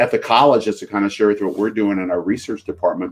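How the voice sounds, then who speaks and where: Using an ordinary speaking voice, a man talks at a fairly low pitch with fairly even intonation. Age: 60s. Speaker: chiropractic college president. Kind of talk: podcast interview.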